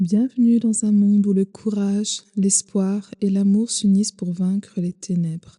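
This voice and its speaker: A woman with a dark, mellow tone and a medium pitch sounds somewhat breathy, talking at a fairly slow pace with fairly even intonation in a dry, close sound with no echo. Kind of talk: sleep story.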